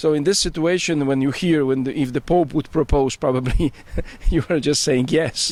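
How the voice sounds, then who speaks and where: A man with a Polish accent talks at a moderate pace. His pitch is fairly high, and his intonation is fairly even. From Poland. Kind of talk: interview. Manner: halting, with false starts.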